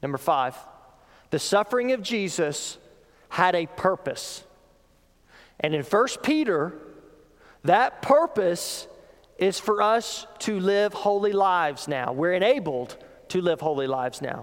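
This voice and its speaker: A man with a high pitch speaks at a fairly slow pace. His voice makes very wide pitch swings, with long, frequent pauses. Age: 30s. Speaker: pastor. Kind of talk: sermon.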